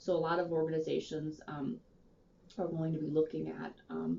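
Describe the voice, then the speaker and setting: A woman speaks with a fairly low pitch. Vocal fry runs through her voice. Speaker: physical therapy manager. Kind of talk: interview. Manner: fast.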